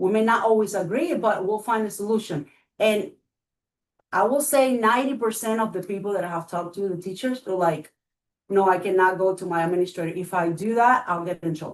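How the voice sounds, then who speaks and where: Speaking at a fairly quick pace, a woman has a medium pitch with ordinary pitch variation. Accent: Spanish. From Cuba. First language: Spanish. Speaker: school board candidate. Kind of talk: candidate interview.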